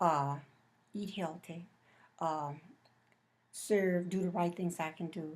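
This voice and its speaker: Long, frequent pauses mark a woman's very slow delivery, her pitch fairly low and her intonation fairly even. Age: 60s. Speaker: interviewee, mother of the interviewer. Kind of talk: interview. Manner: halting.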